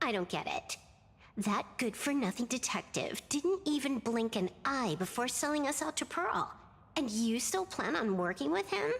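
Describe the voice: In a put-on character voice, a woman speaks at a moderate pace with a high pitch, big pitch swings and vocal fry.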